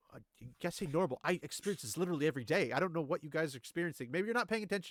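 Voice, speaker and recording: In an animated tone, a man talks at a very fast pace with a fairly high pitch and a dry, close sound with no echo. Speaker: podcast co-host, TV show reviewer. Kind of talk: casual debate. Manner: animated, talks fast.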